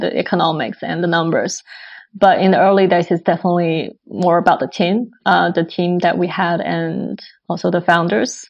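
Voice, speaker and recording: Vocal fry at a moderate pace. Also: woman. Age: 20s. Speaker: fintech startup co-founder. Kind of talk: interview.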